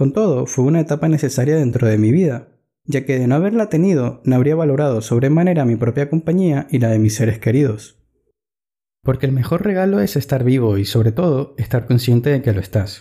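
With a dark, mellow tone, a man talks fairly quickly at medium pitch, somewhat breathy and at very even loudness. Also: lively intonation. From Ecuador. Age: 20s. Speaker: blogger. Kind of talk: reading aloud.

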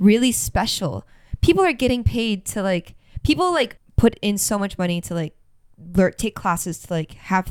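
Lively intonation carries the delivery along at a moderate pace. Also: woman. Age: 20s. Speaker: podcast co-host. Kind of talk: casual chat. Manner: soft-spoken.

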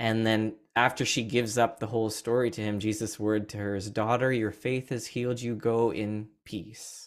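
A man speaks at a medium pitch in a monotone, flat delivery at a moderate pace with hardly any pauses, on a very clean recording with a silent background. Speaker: pastor. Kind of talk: sermon. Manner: calm.

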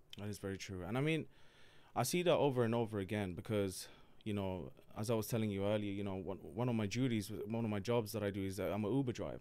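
Talking at a very fast pace, a man uses a fairly low voice with ordinary pitch variation. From born in Palermo, Sicily, raised in UK (London). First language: Italian. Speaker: comedian. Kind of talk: casual chat. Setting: studio. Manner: animated.

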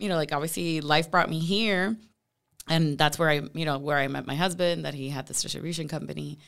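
Her pitch is very deep and low, and the woman keeps her intonation fairly even. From Puerto Rico. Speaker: marketing executive. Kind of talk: podcast interview. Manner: filler-heavy, casual.

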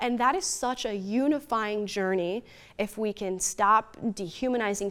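A woman with an American accent speaks at a medium pitch with ordinary pitch variation in an ordinary speaking voice. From United States. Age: 20s. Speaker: political commentator. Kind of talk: interview.

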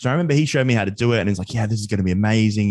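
With an Australian accent, a man speaks at a fairly low pitch with ordinary pitch variation. The background is quiet. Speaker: finance podcaster and student. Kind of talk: casual interview.

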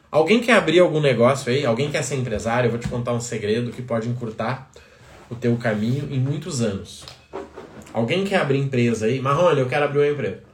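A man's medium-pitched voice at a fairly quick pace, with ordinary pitch variation, audible room echo and noticeable background noise. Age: 30s. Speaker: business coach. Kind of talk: live stream talk. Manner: animated.

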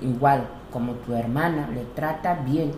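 Amid noticeable background noise and audible room echo, a woman with an Equatoguinean accent speaks at a very deep, low pitch with fairly even intonation. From Equatorial Guinea. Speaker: interviewee, widowed mother. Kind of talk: interview. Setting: at her home.

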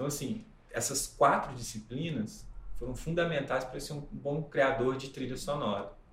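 A man talks at a moderate pace in a fairly high pitch. Audible room echo and noticeable background noise fill the recording. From Minas Gerais, Brazil (Ubá, Zona da Mata). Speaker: musician and film composer. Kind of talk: interview, casual chat.

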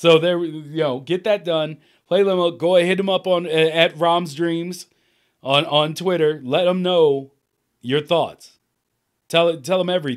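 A man speaks at a high pitch. His intonation is fairly even. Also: moderate pace. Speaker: podcast host. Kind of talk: casual chat.

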